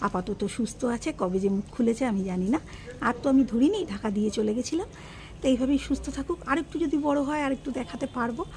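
Soft-spoken and high-pitched, a woman talks with lively intonation over light background noise. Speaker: home vlogger. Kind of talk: casual vlog narration. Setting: at home, garden. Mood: gentle, caring. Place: garden.

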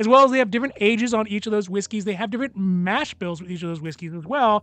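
The sound is dry with no echo. Faint music plays in the background. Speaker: whiskey reviewer. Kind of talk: casual product review commentary. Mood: relaxed, lightly humorous. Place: home room.

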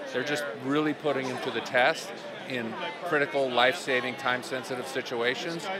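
The sound is dry with no echo as a man speaks over loud background noise. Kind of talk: interview answer. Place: hall. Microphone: handheld.

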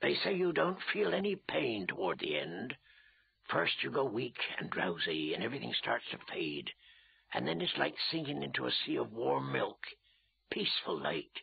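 In a put-on character voice, a man speaks with a raspy sound at medium pitch and a moderate pace. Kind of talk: audiobook character reading. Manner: grim, weary, warning.

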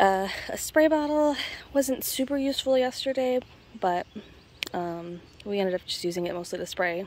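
A woman speaks with very wide pitch swings over light background noise. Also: dry sound with no echo. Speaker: rockhounding channel host. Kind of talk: casual tutorial vlog chat. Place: open country. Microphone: phone near.

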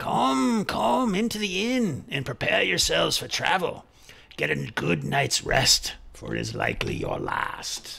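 Speaking fairly slowly, a man performs a put-on character voice. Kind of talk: tabletop NPC voice. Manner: grandiose, ominous welcome.

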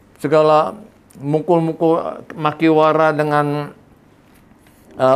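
A man at a fairly high pitch and a very slow pace. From Indonesia, Jakarta; Indonesia. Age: 70s. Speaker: karate master. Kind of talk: interview storytelling. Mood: warm, reminiscing. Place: home room. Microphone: lapel.

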